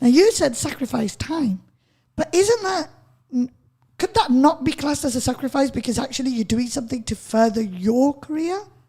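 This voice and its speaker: At a moderate pace, a woman with a Lancashire accent speaks at a high pitch with very wide pitch swings. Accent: Bolton. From northern England, Bolton. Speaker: radio host. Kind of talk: radio interview.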